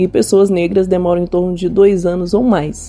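A woman at medium pitch speaks with noticeable background noise. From Minas Gerais, Brazil. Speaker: singer and actress. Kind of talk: pre-recorded statement.

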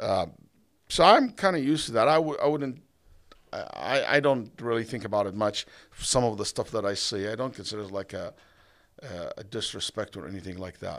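Speaking at a fairly quick pace in an Arabic accent, the voice has lively intonation and big swings in loudness, broken by long, frequent pauses. The recording is very clean, with a silent background. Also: man, medium pitch for a man. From Saudi Arabia, Egypt-born. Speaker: imam and Islamic scholar. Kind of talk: podcast interview. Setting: event venue.

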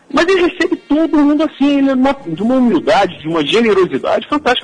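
A man at an extremely high pitch, with a very fast pace and very wide pitch swings. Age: 40s. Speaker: teacher and author. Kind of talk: interview.

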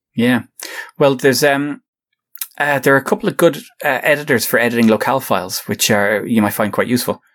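Speaking very fast with lively intonation and very even loudness, this voice in an Irish accent leaves long, frequent pauses. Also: man, medium pitch for a man. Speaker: podcast co-host. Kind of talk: casual chat.

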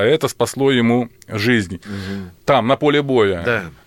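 Speaking at a moderate pace with lively intonation, a man has an unremarkable speaking voice on a very clean recording with a silent background. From Ukraine (Volhynia). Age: 50s. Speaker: military surgeon. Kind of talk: radio interview. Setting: studio. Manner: formal.

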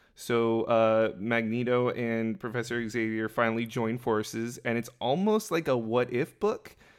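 A man with medium pitch and an unremarkable speaking voice talks at a fairly slow pace. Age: 30s. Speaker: podcast co-host. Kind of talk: casual chat.

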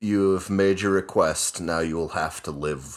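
A put-on character voice at a fairly slow pace, on a very clean recording with a silent background. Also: man, very deep, low pitch for a man. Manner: menacing, ominous.

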